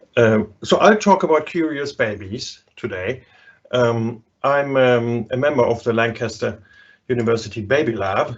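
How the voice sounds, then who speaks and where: A man with a German accent and medium pitch, speaking at a fairly slow pace with ordinary pitch variation. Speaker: psychology professor. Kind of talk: lecture. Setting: live online webinar.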